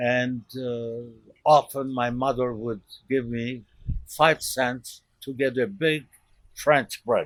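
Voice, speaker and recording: Talking at a very slow pace, a man of medium pitch keeps his intonation fairly even. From Lebanon. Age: 90s. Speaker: elderly immigrant storyteller. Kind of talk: personal life story interview.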